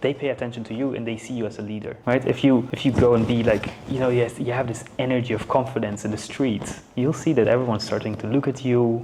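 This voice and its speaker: Very fast, monotone, flat speech from a man at medium pitch with a non-native accent, over noticeable background noise. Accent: non-native English accent, reduced. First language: not English. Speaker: business and content coach. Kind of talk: casual chat. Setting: studio.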